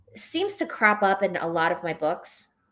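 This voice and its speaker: A woman speaks with a New York accent. Her pitch is medium and her pace fairly slow. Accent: New York American English. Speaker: novelist. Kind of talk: live book club interview. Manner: halting, many fillers and restarts.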